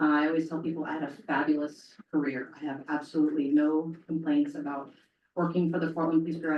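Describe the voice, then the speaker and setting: A woman speaks very fast in a very deep, low voice with a dark, mellow tone and monotone, flat intonation. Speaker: police chief. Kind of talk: public talk.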